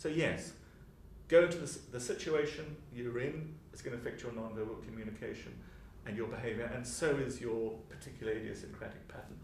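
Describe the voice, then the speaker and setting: A man talks at a fairly quick pace in a room with audible echo and noticeable background noise. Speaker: psychology professor and author. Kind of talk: interview. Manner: fast.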